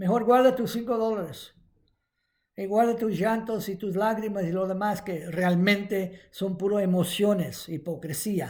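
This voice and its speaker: High in pitch, a man speaks at a fairly slow pace. His intonation remains fairly even. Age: 70s. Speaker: preacher. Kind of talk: sermon. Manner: halting.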